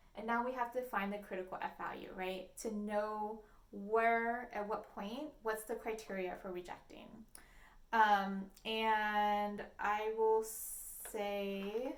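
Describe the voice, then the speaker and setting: Very slowly and in a monotone, flat delivery, a woman speaks at a fairly high pitch, with audible room echo. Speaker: statistics instructor. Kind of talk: lecture. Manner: hesitant, many fillers.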